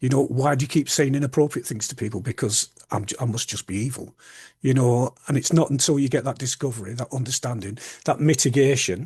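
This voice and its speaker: A somewhat breathy man at a medium pitch and fairly quick pace, with ordinary pitch variation and a quiet background. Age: 60s. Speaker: public speaker and author with Tourette's. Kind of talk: interview conversation. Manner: halting, repeats words.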